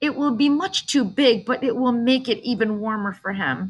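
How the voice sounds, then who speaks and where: Someone delivers a put-on character voice at a moderate pace. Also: female-sounding voice, fairly high pitch for a woman. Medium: read story. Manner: gentle.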